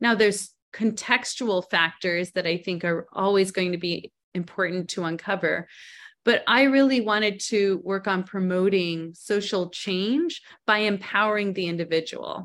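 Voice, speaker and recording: A woman speaks in a normal speaking voice at a medium pitch and a moderate pace, with ordinary pitch variation. The recording is very clean, with a silent background. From Canada. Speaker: psychologist. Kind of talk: interview.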